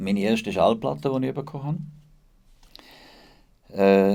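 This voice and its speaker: Lively intonation marks this man's dark, mellow voice, pitched in the medium range. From Liechtenstein, with Bernese childhood roots. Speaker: DJ and charity founder. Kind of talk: podcast interview.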